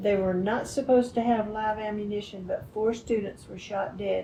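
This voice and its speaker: The speaker talks with a Texan accent in a monotone, flat intonation. Noticeable background noise runs under the voice. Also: woman. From Texas, Northeast (Greenville). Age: 80s+. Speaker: interviewee recalling history. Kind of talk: interview.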